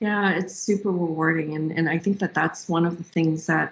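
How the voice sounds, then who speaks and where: A woman's voice, fairly low in pitch. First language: not English. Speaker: marketing executive. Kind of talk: interview.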